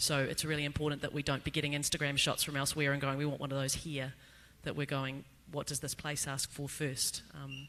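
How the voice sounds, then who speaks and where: A man speaks with a bright, sharp tone. His pace is fairly quick. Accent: New Zealand. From New Zealand. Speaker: placemaker panelist. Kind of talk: panel discussion. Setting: stage with audience.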